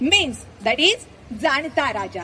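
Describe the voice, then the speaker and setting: Light background noise sits behind a woman speaking with lively intonation. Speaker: speaker. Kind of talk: speech to students. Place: stage.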